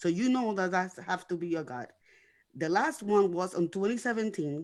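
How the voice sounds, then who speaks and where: A woman's medium-pitched voice with lively intonation over a quiet background. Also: moderate pace. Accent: non-native. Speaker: guest sharing life story. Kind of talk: testimony. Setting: internet radio show. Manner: words sometimes run together; repetitive, halting.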